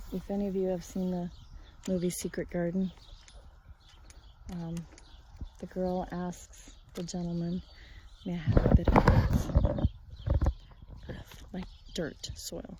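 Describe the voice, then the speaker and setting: A quiet woman's voice at medium pitch, flat and monotone, with big swings in loudness, a fairly slow pace, long and frequent pauses, and noticeable background noise. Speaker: farmer and homesteading vlogger. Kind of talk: casual vlog narration. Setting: outdoors on a farm. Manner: quiet, keeping voice down.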